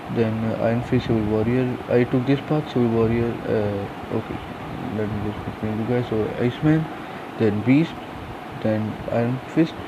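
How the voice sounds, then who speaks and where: Noticeable background noise accompanies a man whose medium-pitched voice has fairly even intonation. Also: moderate pace. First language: not English. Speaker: gaming youtuber. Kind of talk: game tutorial. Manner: hesitant, many fillers.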